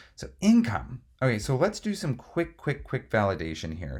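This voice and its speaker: A man talks at a fairly slow pace in a medium pitch. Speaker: real estate investor. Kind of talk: tutorial. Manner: casual.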